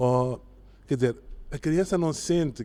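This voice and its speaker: Ordinary pitch variation runs through a man's voice, which has a dark, mellow tone. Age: 60s. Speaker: psychologist. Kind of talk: podcast interview.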